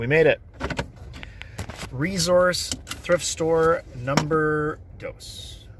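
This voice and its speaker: A man at a very slow pace with long, frequent pauses, over noticeable background noise. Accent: American. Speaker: board game youtuber and designer. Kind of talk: casual vlog narration. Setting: thrift store / outdoors vlog. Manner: quiet in store.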